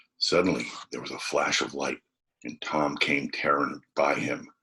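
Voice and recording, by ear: A man's bright, sharp voice carries a husky, rough edge as he speaks at a moderate pace.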